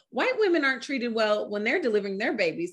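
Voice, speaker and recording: A fairly high-pitched woman with an American accent, against a quiet background. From Oakland, California. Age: 30s. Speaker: birth worker, nonprofit founder. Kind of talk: casual chat. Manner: animated.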